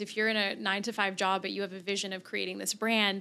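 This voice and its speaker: A woman speaks very fast in a bright, sharp tone, recorded very cleanly against a silent background. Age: 30s. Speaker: marketing consultant. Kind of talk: interview. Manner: animated.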